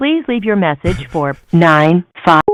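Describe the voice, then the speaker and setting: A put-on robotic character voice speaks at a middle pitch and a fairly slow pace. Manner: flat, robotic, mechanical.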